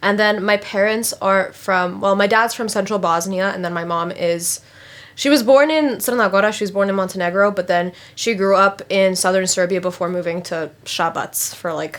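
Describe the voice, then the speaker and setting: In an American accent, a woman of medium pitch with an ordinary speaking voice talks at a moderate pace with ordinary pitch variation. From Phoenix, Arizona, USA. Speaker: student. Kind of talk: interview answer.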